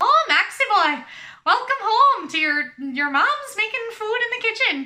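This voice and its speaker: A woman's put-on character voice in an Irish accent, extremely high-pitched with very wide pitch swings, at a moderate pace. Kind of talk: playful, jokey.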